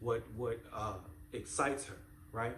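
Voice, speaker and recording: There is audible room echo as a man with a somewhat breathy, medium-pitched voice talks at a moderate pace with ordinary pitch variation. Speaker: parenting channel host. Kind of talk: motivational talk to camera. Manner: repetitive, halting.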